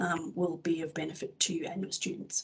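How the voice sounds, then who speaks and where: A woman talks at a fairly quick pace with an Australian accent. Her voice is somewhat breathy. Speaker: publisher's education representative. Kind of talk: product presentation webinar. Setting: webinar. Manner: fast.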